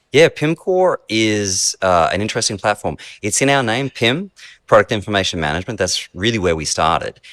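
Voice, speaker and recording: A man with an Australian accent talks at a fairly quick pace. His fairly low pitch moves in very wide swings. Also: dry, close sound with no echo, very clean recording, silent background. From Australia (rural Queensland cane farms). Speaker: software company executive. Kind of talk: interview. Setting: basement of a beer hall restaurant.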